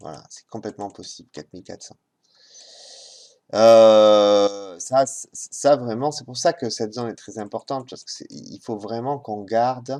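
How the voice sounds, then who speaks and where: A man talks fairly slowly at medium pitch with a dark, mellow tone. His loudness swings widely while his pitch varies in an ordinary way. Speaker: market analyst. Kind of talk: market review commentary. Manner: halting.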